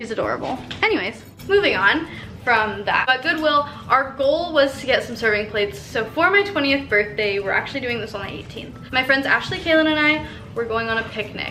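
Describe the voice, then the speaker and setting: A woman with an American accent projects her high voice with lively intonation at a fairly quick pace. Noticeable background noise and audible room echo surround her. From US West. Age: 20s. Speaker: vlogger. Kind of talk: casual vlog haul. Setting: at home. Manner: animated.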